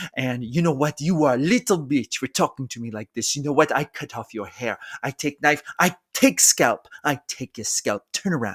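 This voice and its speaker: A gruff, put-on character voice moves at a moderate pace in a very clean recording with a silent background. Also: man, fairly high pitch for a man. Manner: menacing, gruff, intentionally bad accent.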